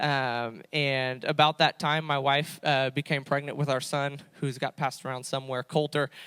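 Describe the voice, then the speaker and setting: A man with a fairly high pitch, a monotone, flat intonation, a moderate pace and hardly any pauses. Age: 20s. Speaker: youth pastor. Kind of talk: testimony. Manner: halting, many fillers.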